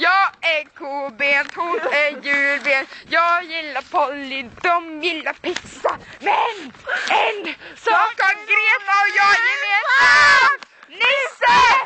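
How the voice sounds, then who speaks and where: At a very slow pace, someone talks while noticeable background noise fills the recording. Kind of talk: casual chat.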